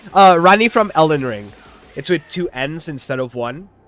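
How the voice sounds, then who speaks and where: There is noticeable background noise as a man speaks at a moderate pace. His tone is animated and his intonation lively. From Portugal. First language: Portuguese. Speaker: streamer. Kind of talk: casual chat.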